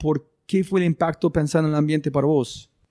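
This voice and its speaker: A man with an English accent and a fairly high pitch speaks with fairly even intonation on a very clean recording with a silent background and a dry, close sound with no echo. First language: English (speaking Spanish). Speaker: podcast host. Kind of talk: interview.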